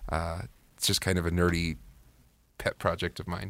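Speaking fairly quickly with an American accent, a man with a very deep, low voice sounds dry and close with no echo in a very clean recording over a silent background. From California, Modesto. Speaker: college student podcast co-host. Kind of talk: casual chat.

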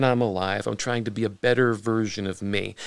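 A man with an American accent speaks at a moderate pace and medium pitch, in an unremarkable speaking voice. The recording is very clean, with a silent background. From Pittsburgh area, US. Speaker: business owner and former actor. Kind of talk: casual interview chat.

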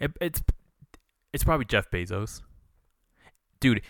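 An American accent comes from a man on a very clean recording, the background silent. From Utah, US. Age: 20s. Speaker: podcast host. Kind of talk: casual chat.

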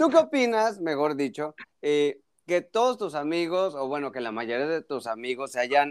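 Speaking with lively intonation, a man has a fairly high pitch. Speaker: doctor. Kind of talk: casual chat. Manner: animated.

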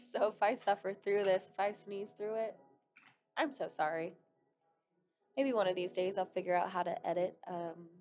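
Music plays behind a woman speaking at a medium pitch. She keeps a moderate pace with ordinary pitch variation. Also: long, frequent pauses, big swings in loudness. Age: 20s. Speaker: podcaster. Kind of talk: personal storytelling monologue. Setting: home, at a desk.

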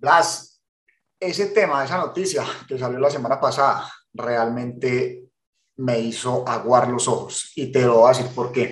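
Somewhat breathy, a man speaks at a medium pitch and a fairly slow pace, with audible room echo. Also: ordinary pitch variation. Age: 40s. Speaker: podcast co-host. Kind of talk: casual chat.

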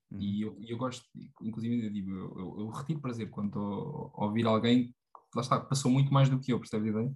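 This man speaks very fast at a medium pitch, with ordinary pitch variation. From Portugal, Tomar (central Portugal). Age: 20s. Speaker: former student and personal development enthusiast. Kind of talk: casual chat. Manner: halting, many fillers and repetitions.

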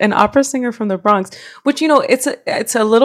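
The speaker is a woman. She talks with an American accent. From New York. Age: 20s. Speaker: opera singer and voice teacher. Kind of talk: casual interview chat.

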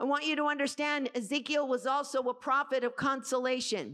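Projecting her voice, a woman with a high pitch speaks at a moderate pace in an animated tone. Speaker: preacher. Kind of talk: sermon. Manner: animated, exhorting the congregation with call-and-response.

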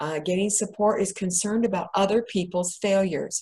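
A woman's voice, somewhat breathy, at a moderate pace. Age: 60s. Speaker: bariatric patient and author presenting a webinar. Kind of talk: presentation to a group.

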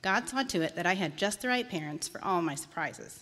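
With lively intonation, an ordinary speaking voice goes along at a fairly quick pace. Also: woman. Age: 40s. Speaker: church member giving testimony. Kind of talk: testimony. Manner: reading prepared text.

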